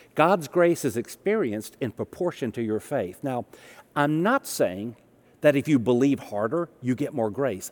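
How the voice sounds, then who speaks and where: In a Southern US accent, a man speaks at a moderate pace and a fairly high pitch, with very wide pitch swings. The recording is very clean, with a silent background. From US South. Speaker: pastor. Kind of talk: sermon.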